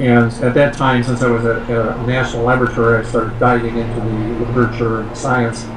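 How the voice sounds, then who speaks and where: In a monotone, flat intonation, a man speaks fairly quickly with noticeable background noise around him. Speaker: scientist and author; guest. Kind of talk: interview. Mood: calm, reflective storytelling. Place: home room. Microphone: video call.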